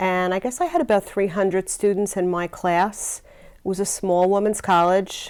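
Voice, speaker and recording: With a plain, everyday voice, a woman speaks at medium pitch and a moderate pace, her intonation fairly even, in a very clean recording with a silent background. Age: 60s. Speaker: nurse. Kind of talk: interview answers.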